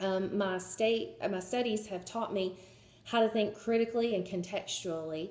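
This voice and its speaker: With a Southern US accent, a woman speaks at medium pitch and a moderate pace, her dark, mellow tone carrying fairly even intonation. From US South, Georgia. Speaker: job applicant, history student. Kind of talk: video job pitch. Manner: hesitant, many fillers.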